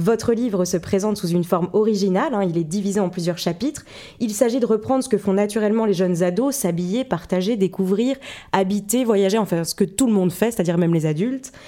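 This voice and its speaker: This woman has a dark, mellow tone and a medium pitch. She talks at a fairly quick pace. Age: 20s. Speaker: podcast host, journalist. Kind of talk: interview.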